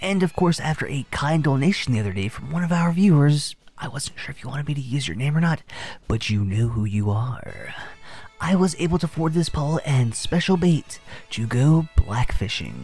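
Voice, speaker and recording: Music plays in the background as the speaker keeps a moderate pace. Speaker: commentary YouTuber. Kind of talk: satirical reaction commentary. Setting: outdoors, fishing.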